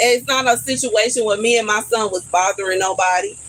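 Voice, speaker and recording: A woman talks in an animated tone with noticeable background noise behind her. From Houston, Texas. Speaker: live streamer. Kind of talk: casual live stream chat. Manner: animated, repetitive.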